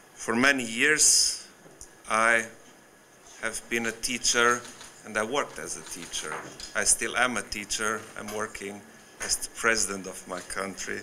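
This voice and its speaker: Through noticeable background noise, a man with a bright, sharp tone speaks at a fairly slow pace with long, frequent pauses. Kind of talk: formal speech. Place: hall. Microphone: podium.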